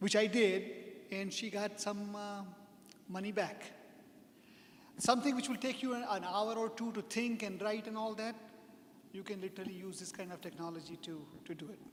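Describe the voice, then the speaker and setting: With a non-native accent and a high pitch, a man speaks with fairly even intonation, big swings in loudness and long, frequent pauses, amid audible room echo and noticeable background noise. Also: moderate pace. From India. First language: not English. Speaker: software consultant, speaker. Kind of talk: lecture. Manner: halting.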